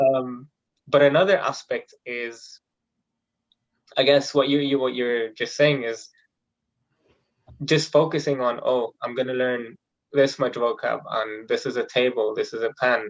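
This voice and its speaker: A man with an Arabic accent, fairly even intonation and long, frequent pauses. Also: medium pitch for a man. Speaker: engineering student, polyglot. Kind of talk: interview. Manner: hesitant, many fillers.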